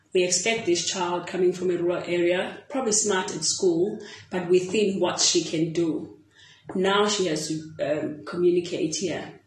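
Noticeable background noise sits behind a woman's fairly low voice. She speaks at a moderate pace. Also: fairly even intonation. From South Africa. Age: 30s. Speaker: netball player and coach. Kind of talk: interview. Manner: halting.

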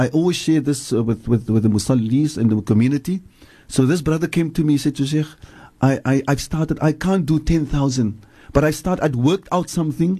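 A man talks at a fairly quick pace in a fairly high pitch with ordinary variation. His tone is dark and mellow, and somewhat breathy. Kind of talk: religious advice talk on radio. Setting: radio studio.

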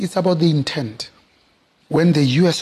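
A man speaks in a passionate tone at a moderate pace. His voice is somewhat breathy with ordinary pitch variation. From South Africa, township. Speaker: business executive. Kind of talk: interview. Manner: passionate, expressive.

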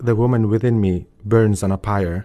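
In a quiet background, a man with a fairly low pitch and dark, mellow tone speaks with fairly even intonation. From Finland, born in Kosovo. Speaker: novelist. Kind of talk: interview. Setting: studio. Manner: halting, repetitive.

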